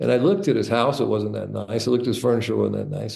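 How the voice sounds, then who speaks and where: A man speaks in a dark, mellow tone. Vocal fry runs through his voice. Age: 60s. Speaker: entrepreneur and author. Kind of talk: interview storytelling.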